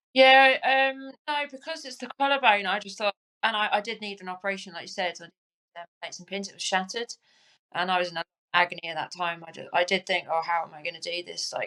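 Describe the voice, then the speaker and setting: Very fast, lively speech in a southern English accent, with a bright, sharp tone and a dry, close sound with no echo. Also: woman, medium pitch for a woman, big swings in loudness. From southern England, Crawley. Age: 40s. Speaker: Paralympic cyclist. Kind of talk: interview. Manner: halting.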